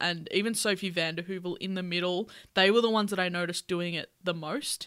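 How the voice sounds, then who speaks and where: A woman with an Australian accent, medium pitch and an upbeat tone, at a very fast pace on a very clean recording with a silent background. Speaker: podcast host. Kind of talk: casual chat. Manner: laughs often, upbeat.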